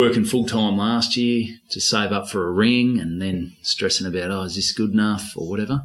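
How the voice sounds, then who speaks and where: Over noticeable background noise, a man with a fairly low voice talks at a moderate pace with hardly any pauses and fairly even intonation. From North Queensland, Australia. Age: 30s. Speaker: stand-up comedian. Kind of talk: casual chat.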